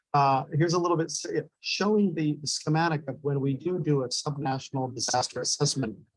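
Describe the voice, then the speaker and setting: In a fairly high, somewhat breathy voice, a man speaks with an American accent. His intonation stays fairly even. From California. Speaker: disaster preparedness organization representative. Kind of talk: conference presentation.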